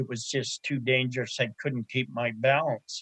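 Speaking at medium pitch, a man keeps a monotone, flat intonation. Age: 70s. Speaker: older adult sharing mobility experience. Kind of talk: interview. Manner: halting.

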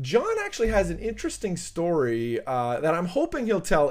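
Lively intonation marks this man's speech in a Canadian accent. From Central Canada, Toronto area. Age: 40s. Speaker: podcast host. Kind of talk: interview.

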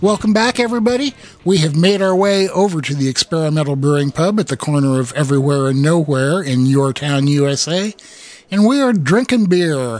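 A man with an American accent talks at a fairly quick pace in a fairly high pitch with lively intonation, over noticeable background noise. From Iowa. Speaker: podcast host and homebrewing author. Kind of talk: casual chat.

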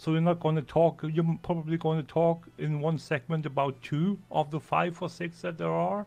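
A man's dark, mellow voice with a German accent and fairly even intonation. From German-speaking Europe. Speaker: podcaster and add-on expert. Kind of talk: casual chat. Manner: halting, repeats words.

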